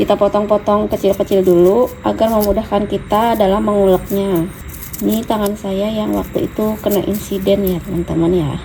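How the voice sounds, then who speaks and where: A woman in monotone, flat intonation amid noticeable background noise. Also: moderate pace. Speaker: cooking vlogger. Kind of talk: cooking tutorial. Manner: softer than usual.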